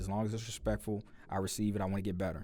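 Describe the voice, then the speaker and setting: A man speaks with an American accent. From US Midwest, St. Louis, Missouri. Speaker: sports podcast host. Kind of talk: casual sports commentary podcast. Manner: loud; casual, with many fillers. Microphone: close to the mic, levels being adjusted.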